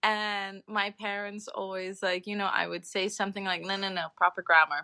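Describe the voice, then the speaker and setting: A woman with an American accent speaks at a medium pitch and a moderate pace in a bright, sharp tone, in a very clean, dry, close recording with no echo and a silent background. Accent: sounds American. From Saint Martin, Caribbean. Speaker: environmental activist. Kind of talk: casual chat.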